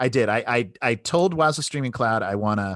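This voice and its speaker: Against a quiet background, a man at medium pitch speaks in an animated tone with lively intonation, the sound dry and close with no echo. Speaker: product demo presenter. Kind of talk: product demo webinar. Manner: fast.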